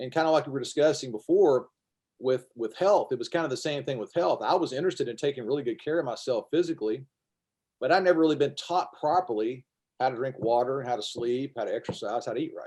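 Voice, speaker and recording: Talking at a very fast pace, this man has a Kentucky accent. His voice is fairly high with ordinary pitch variation. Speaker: former teacher and health speaker. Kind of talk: casual interview.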